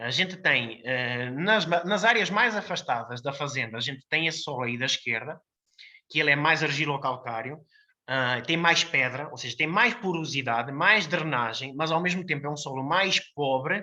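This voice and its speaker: Over a quiet background, a man speaks with a bright, sharp tone at a fairly high pitch. His intonation is lively and his pace moderate. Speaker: winemaker. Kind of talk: technical presentation. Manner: hesitant, many fillers.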